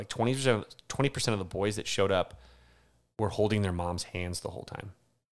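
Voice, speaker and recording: On a very clean recording with a silent background, a man with a plain, everyday voice and a fairly low pitch speaks at a fairly quick pace. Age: 40s. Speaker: podcast co-host, teacher. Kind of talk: casual chat.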